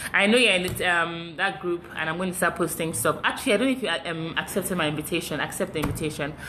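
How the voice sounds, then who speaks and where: A woman talks at a very fast pace with a fairly low pitch and ordinary pitch variation. Noticeable background noise sits behind her. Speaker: fitness live streamer. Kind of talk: live stream chat with viewers.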